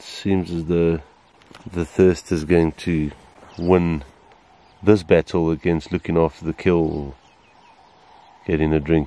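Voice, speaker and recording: Flat, monotone delivery with long, frequent pauses, dry and echo-free. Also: man. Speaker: safari guide filmmaker. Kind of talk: wildlife commentary. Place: open country. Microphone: phone near.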